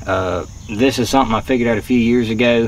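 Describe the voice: Over faint background noise, a man with a fairly low pitch talks at a fairly quick pace with fairly even intonation.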